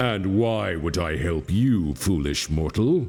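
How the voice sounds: A man growls in a booming, put-on character voice at a very deep, low pitch and a fairly slow pace. Clear music plays in the background.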